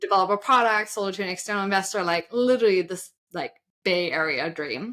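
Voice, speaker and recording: A woman with a German accent talks at a very fast clip in a bright, sharp tone. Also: medium pitch for a woman, ordinary pitch variation. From Germany. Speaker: side hustle coach. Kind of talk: interview.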